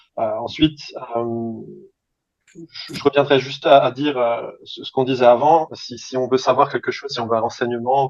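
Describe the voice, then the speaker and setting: Male voice at medium pitch and moderate pace, monotone and flat, with big swings in loudness. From France. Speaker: language student. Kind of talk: interview. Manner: halting, many hesitations.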